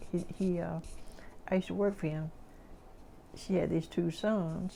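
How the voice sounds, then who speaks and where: A woman talks at a moderate pace with a dark, mellow tone. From US South. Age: 80s+. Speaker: oral history interviewee. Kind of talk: oral history interview. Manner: halting.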